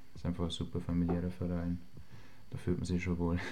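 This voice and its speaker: The voice has a dark, mellow tone and monotone, flat intonation. Audible room echo surrounds it. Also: man. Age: 20s. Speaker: semi-pro footballer. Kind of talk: interview.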